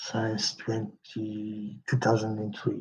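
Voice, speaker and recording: A man with a non-native accent, fairly low-pitched, at a very slow pace. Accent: non-native English, working on pronunciation. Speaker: podcast host, game publisher. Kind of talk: solo podcast monologue. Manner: halting, repeats words.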